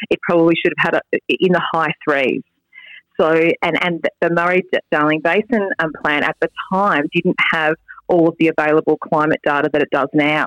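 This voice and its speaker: A woman speaks with an Australian accent at a moderate pace. Her intonation is fairly even and her loudness very even. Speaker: state member of parliament. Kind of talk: casual interview. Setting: golf club boardroom. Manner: hesitant, with many fillers.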